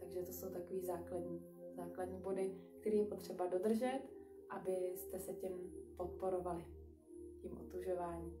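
Clear music plays in the background as a woman speaks at a moderate pace. She takes long, frequent pauses. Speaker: exercise instructor. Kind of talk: live stream instruction talk. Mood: calm, gentle. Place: home room. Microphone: webcam.

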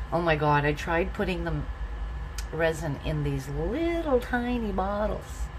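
Noticeable background noise behind a fairly slow delivery. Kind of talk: casual craft tutorial chat. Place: home room. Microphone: phone near.

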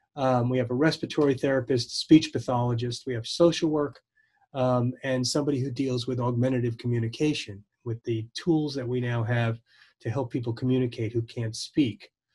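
A somewhat breathy man talks at a fairly quick pace with fairly even intonation. The background is quiet. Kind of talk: interview answer. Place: office. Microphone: video call.

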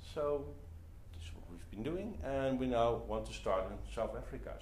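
A man with a Dutch accent speaks at a moderate pace against noticeable background noise. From Netherlands. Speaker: entrepreneur and community co-founder; presenter. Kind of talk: talk to a live audience. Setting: meetup venue with audience. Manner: halting with many fillers. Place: meeting room. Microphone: camera far.

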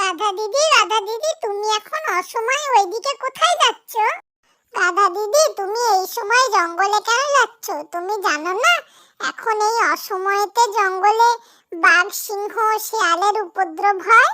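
Doing a cartoonish character voice, a woman speaks at an extremely high pitch and a fairly slow pace. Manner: warm, concerned.

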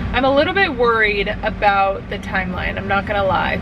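Over noticeable background noise, a woman speaks at a moderate pace, the sound dry with no echo. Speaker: vlogger. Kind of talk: casual vlog chat. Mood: chatty, slightly worried. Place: car. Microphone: phone near.

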